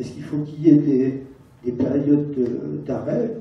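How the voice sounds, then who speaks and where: Audible room echo surrounds a man who talks at a fairly slow pace in a fairly high pitch. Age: 70s. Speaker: audience member, patient. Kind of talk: audience question at conference. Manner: halting, hesitant.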